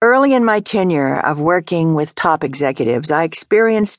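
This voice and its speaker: A woman's normal speaking voice with lively intonation at a moderate pace, dry and close with no echo against a quiet background. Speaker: audiobook narrator. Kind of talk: audiobook reading. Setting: studio. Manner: measured, steady, formal; earnest, conversational storytelling.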